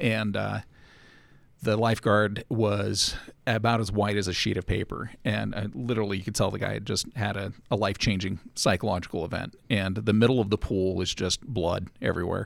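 A man with an American accent speaks at a moderate pace in a fairly low pitch, with vocal fry and fairly even intonation. The recording is very clean, with a silent background. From Los Angeles, then Utah. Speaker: panelist on a geek podcast. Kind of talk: casual interview chat.

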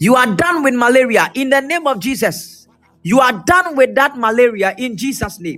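Over music in the background, a man with an extremely high pitch speaks in a raised, projected voice at a moderate pace. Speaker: preacher. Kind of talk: prophetic ministry. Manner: repetitive.

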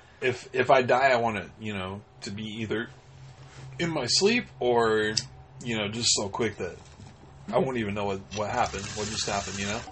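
A man at a medium pitch with ordinary pitch variation, moderate pace and long, frequent pauses, amid noticeable background noise. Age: 30s. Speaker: podcast co-host. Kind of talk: casual chat.

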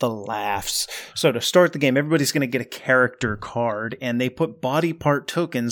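The passage is read aloud plainly, and the pitch varies in an ordinary way.

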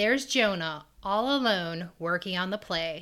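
A woman's bright, sharp tone at a moderate pace, in a very clean recording with a silent background. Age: 30s. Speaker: podcast co-host. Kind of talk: episode recap narration; casual chat.

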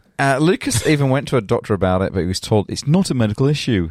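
On a very clean recording with a silent background, a man with a Leeds accent talks at a very fast pace with very wide pitch swings. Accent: Leeds, northern English. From Leeds, England. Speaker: podcast host. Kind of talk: casual banter, podcast chat. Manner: joking, laughing.

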